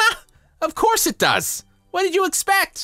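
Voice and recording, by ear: In a cartoonish character voice, a man speaks at an extremely high pitch with very wide pitch swings, a bright, sharp tone and a fairly slow pace, with faint music in the background.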